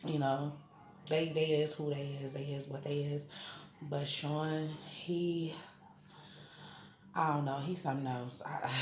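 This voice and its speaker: A fairly slow, monotone, flat delivery with long, frequent pauses, audible room echo and noticeable background noise. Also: woman, very deep, low pitch for a woman. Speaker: vlogger. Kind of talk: casual vlog update. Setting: hospital room. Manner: loud; casual, conversational.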